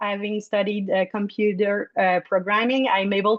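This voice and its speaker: A woman speaks with a Quebec accent at a fairly high pitch. The sound is dry and close, with no echo. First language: French. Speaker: food blogger and board candidate. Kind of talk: candidate speech. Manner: halting.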